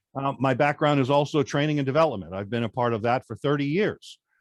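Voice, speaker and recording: With an American accent, a man uses a plain, everyday voice at medium pitch and a fairly quick pace. His intonation is lively, and the background is quiet. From New York. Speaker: presentation coach. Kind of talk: interview.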